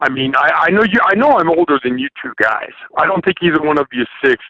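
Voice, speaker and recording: Raised and projected, a man's bright, sharp voice with an American accent swings very widely in pitch at a moderate pace, recorded dry and close with no echo. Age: 60s. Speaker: caller. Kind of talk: casual chat. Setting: phone call. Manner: halting, repeats words.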